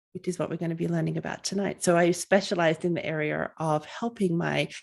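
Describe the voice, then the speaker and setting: This woman has a fairly low pitch and speaks with an Australian accent. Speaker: family physician and coach. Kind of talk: webinar presentation.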